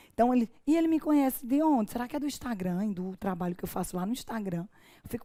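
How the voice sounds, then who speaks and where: A woman with a Paraíba accent, fairly high-pitched and fairly quick. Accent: Paraíba (northeastern Brazilian). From Paraíba, Brazil. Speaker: judge and law teacher. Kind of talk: online course lecture. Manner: informal, conversational.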